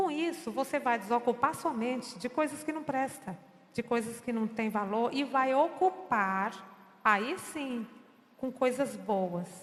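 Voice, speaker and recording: A high-pitched woman speaks at a fairly slow pace with lively intonation. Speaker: choir director giving a church talk. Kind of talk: lecture.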